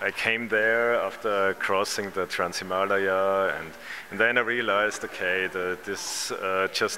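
Over noticeable background noise, a man with a German accent speaks at a very slow pace. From Vienna, Austria; Austria. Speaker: artist. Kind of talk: interview. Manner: halting, many fillers. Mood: thoughtful, reflective. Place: hall. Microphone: handheld.

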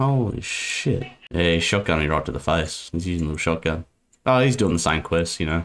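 Lively in intonation, a man with a very deep, low pitch talks at a fairly quick pace. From Australia. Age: 20s. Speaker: gaming YouTuber. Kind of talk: gameplay commentary. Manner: animated, heavy swearing. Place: home room.

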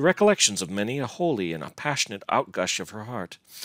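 The recording captures a natural reading voice.

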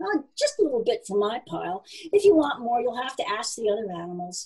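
A woman performs a booming put-on character voice at a fairly high pitch, with big pitch swings, a slightly mellow tone, a slightly husky edge and a fairly quick pace.

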